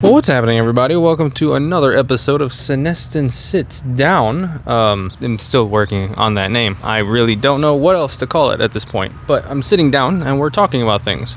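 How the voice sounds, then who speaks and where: A man with an American accent speaks at a fairly quick pace while noticeable background noise carries on around him. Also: medium pitch for a man, lively intonation, hardly any pauses. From US, Mexican American family. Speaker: YouTuber, design content creator. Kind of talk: casual opinion talk to camera. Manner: casual, conversational.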